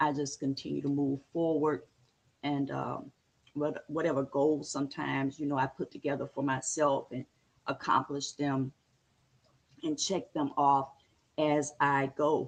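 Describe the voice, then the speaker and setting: In a very deep, low voice, a woman speaks at a fairly slow pace with monotone, flat intonation. She leaves long, frequent pauses against a quiet background. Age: 60s. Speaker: livestream host. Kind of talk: casual chat. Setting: live stream. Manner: halting.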